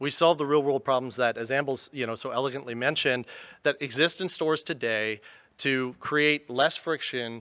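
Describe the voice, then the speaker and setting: A loud man with a bright, sharp tone talks at a moderate pace with ordinary pitch variation, in a dry, close sound with no echo. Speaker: tech company executive. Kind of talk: conference presentation. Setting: stage with audience.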